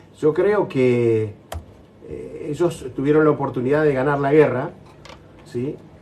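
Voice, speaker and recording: Through noticeable background noise, a fairly high-pitched man talks at a moderate pace with ordinary pitch variation. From Argentina. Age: 60s. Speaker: war veteran. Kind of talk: interview.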